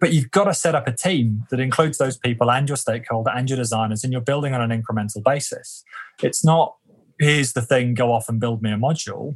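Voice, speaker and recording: A man with a British accent, medium pitch, a somewhat breathy voice, ordinary pitch variation and a very fast pace. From UK. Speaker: leadership development consultant. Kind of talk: interview conversation.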